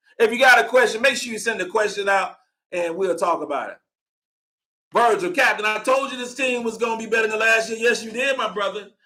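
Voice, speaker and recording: This raised, projected voice moves at a fairly quick pace with a bright, sharp tone, ordinary pitch variation and big swings in loudness. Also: man, high pitch for a man. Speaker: sports podcast host. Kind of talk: live postgame show, casual commentary. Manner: fast; animated.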